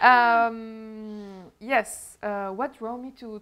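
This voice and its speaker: Bright, sharp tone in a French accent, with fairly even intonation. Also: woman. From Lebanon. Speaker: show host. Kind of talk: interview chat. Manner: halting, many fillers.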